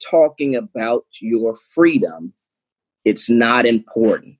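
A man with lively intonation and an American accent. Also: dry, close sound with no echo. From Georgia, US South. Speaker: political candidate. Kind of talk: political debate.

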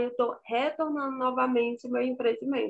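The background is quiet. The intonation is monotone and flat. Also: woman. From rural Ceará, Brazil. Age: 30s. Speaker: small business owner. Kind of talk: interview.

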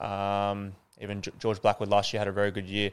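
With an Australian accent, a man speaks at a moderate pace and fairly low pitch on a very clean recording with a silent background. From Sydney, Northern Beaches. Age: young. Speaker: professional footballer. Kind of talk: casual interview. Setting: stadium tunnel.

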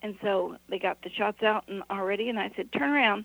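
A woman's medium-pitched voice with vocal fry. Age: 70s.

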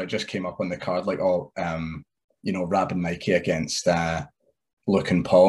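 A man speaks over a quiet background. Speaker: wrestler. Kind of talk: casual interview chat.

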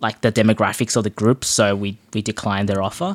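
Male voice with an Australian accent at a fairly quick pace, dry and close with no echo, in a very clean recording over a silent background. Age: 20s. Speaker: online community founder. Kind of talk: casual chat.

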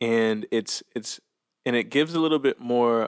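Recorded with a dry, close sound and no echo, a man talks at a moderate pace and medium pitch. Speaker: meditation coach and teacher. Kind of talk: casual interview conversation.

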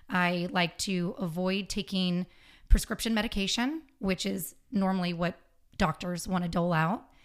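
The clip offers a normal speaking voice. It is a very clean recording with a silent background, and the speech comes at a moderate pace. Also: woman. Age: 40s. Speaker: podcast guest, health and fitness advocate. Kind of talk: casual interview chat.

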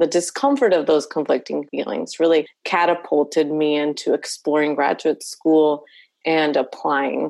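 Speaking fairly slowly with a Spanish accent, a woman uses a very deep, low pitch, ordinary pitch variation, and very even loudness. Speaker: licensed professional counselor. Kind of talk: casual interview conversation.

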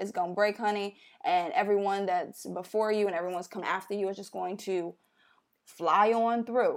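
At a moderate pace, someone speaks with an American accent in a very clean recording with a silent background. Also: woman, medium pitch for a woman. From Chicago. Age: 20s. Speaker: YouTuber. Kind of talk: casual chat. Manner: animated.

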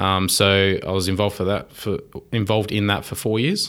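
With an Australian accent, a man talks in a fairly low pitch and fairly even intonation. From Wollongong, New South Wales, Australia. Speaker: mechatronics engineer. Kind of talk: casual interview chat. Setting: in-person studio.

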